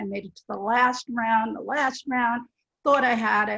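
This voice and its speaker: A woman talks at a moderate pace in a plain, everyday voice with a fairly high pitch. The sound is dry and close with no echo. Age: 60s. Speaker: career changer, bootcamp graduate. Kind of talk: panel discussion. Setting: online webinar.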